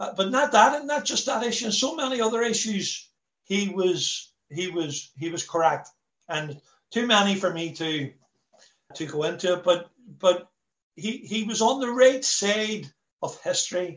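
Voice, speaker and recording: A man speaks with a Belfast accent at a moderate pace. His pitch is high and his intonation lively. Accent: Belfast Northern Irish. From Belfast, Northern Ireland. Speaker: former republican prisoner and visitor centre worker. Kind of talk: talk to online meeting. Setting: video call. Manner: repetitive, halting.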